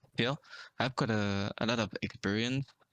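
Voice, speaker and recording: At a fairly slow pace, a man with a non-native accent speaks at a medium pitch with ordinary pitch variation. The sound is dry and close, with no echo. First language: not English. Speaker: esports player. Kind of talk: casual interview.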